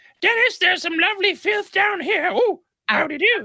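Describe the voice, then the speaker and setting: This is a put-on character voice that sounds female. Its pitch is extremely high for a woman. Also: moderate pace. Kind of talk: silly. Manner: shrill, comedic.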